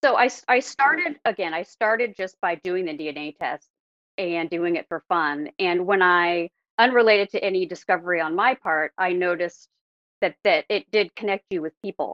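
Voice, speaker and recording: At a moderate pace, a woman speaks in an ordinary speaking voice with a medium pitch and ordinary pitch variation. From Oregon, Portland area. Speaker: DNA sleuth. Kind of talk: interview.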